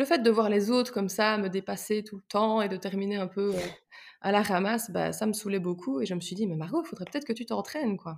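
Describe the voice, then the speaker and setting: Speaking at a fairly quick pace, a woman with an unremarkable speaking voice keeps to a medium pitch and ordinary pitch variation. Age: 20s. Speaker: psychology-trained sports enthusiast. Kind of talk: casual interview.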